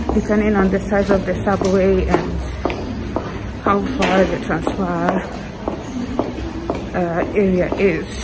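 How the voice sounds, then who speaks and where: Music plays in the background as a woman talks at a very slow pace, leaving long, frequent pauses. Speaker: vlogger. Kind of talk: casual vlog chat. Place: station. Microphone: phone near.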